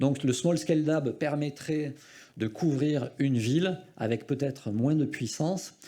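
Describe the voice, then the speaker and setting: A man with a southwestern French accent, a dark, mellow tone and fairly high pitch, ordinary pitch variation, very even loudness and a very slow pace. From southwestern France. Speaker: radio federation representative. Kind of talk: conference talk. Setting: conference with audience. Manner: hesitant, many fillers.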